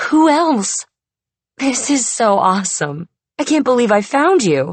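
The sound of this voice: A put-on, female-sounding character voice, high-pitched, raspy and excited, at a moderate pace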